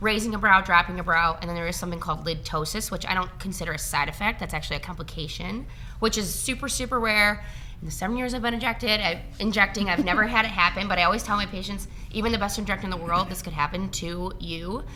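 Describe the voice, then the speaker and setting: A woman mumbles at a very fast pace in a medium pitch, with audible room echo. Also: ordinary pitch variation. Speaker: registered nurse injector. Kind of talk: casual interview. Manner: mumbling.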